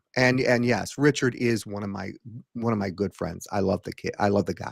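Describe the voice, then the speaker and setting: In a dry, close sound with no echo, a man with a fairly low pitch and ordinary pitch variation talks at a moderate pace. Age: 60s. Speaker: hypnotist and former puppeteer. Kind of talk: casual chat. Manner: halting.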